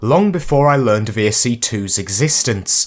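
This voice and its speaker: A somewhat breathy man at a moderate pace. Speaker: video game commentator. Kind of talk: YouTube video essay narration.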